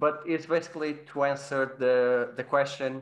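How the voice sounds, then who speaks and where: A man's medium-pitched voice with a Portuguese accent, fairly slow and fairly even in intonation. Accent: Portuguese accent, trouble with the I sound. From Portugal. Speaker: podcast host, virtual photographer. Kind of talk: casual roundtable chat. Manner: halting, repeats words.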